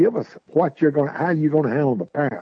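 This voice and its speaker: A man with a Southern US accent, very fast pace and ordinary pitch variation. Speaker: radio host. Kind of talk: live local sports radio talk show, reading sponsors.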